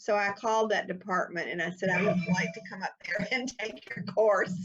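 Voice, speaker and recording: Music plays behind a woman speaking at a moderate pace. Her pitch is medium and varies in an ordinary way. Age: 70s. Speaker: author. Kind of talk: interview. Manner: animated.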